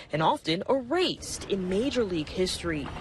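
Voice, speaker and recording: A woman with an American accent speaks at medium pitch and a moderate pace, with very wide pitch swings. Noticeable background noise runs underneath. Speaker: TV news reporter. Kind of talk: TV news reporting, live and packaged stories. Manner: clear, professional, measured.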